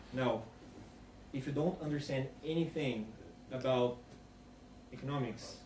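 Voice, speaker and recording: Over noticeable background noise and audible room echo, a man with a non-native accent speaks at a moderate pace with fairly even intonation. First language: not English. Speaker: conference speaker. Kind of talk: Q&A after a talk.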